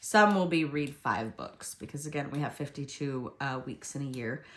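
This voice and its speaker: A woman with a very deep, low pitch and ordinary pitch variation. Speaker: planner video creator. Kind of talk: tutorial. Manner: hesitant, many fillers.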